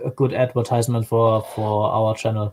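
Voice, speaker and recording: Speaking with a slight German accent, a man keeps a monotone, flat intonation at a moderate pace and medium pitch, the sound dry and close with no echo. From Germany. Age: 20s. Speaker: YouTube creator, stream guest. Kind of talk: casual chat.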